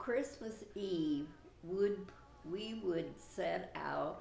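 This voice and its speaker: A woman speaks at a very slow pace. Noticeable background noise runs beneath her voice. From Indiana, USA. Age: 80s+. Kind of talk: interview answer.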